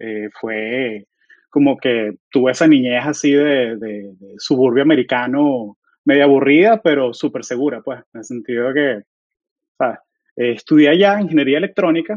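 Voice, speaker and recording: A man with an unremarkable speaking voice, medium in pitch, at a moderate pace, with lively intonation and big swings in loudness. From Venezuela (Caracas), moved to Florida, US at 13. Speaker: software engineer. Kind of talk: casual interview chat.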